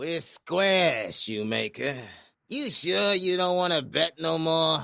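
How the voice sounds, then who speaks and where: A man in a put-on character voice, high-pitched with lively intonation, at a fairly slow pace in a very clean recording with a silent background. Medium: audio drama. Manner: streetwise.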